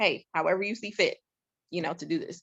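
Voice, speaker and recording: At a medium pitch, a woman talks at a fairly quick pace. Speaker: real estate investor. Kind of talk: webinar presentation. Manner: fast.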